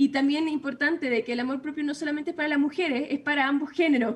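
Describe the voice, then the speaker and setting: The voice here is a woman's. Her pitch shifts in an ordinary way. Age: 20s. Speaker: author. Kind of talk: interview. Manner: hesitant, many filler sounds.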